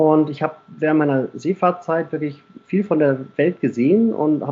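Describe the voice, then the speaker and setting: A man holds a moderate pace, his fairly high voice carrying fairly even intonation. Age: 30s. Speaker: local mayoral candidate and police officer. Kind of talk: interview. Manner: hesitant with frequent fillers.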